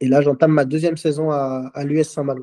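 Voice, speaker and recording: Dark and mellow in tone, the man's voice stays monotone with flat intonation. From Martinique, then Rennes from childhood. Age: 20s. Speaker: football player. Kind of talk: interview. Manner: hesitant, many fillers.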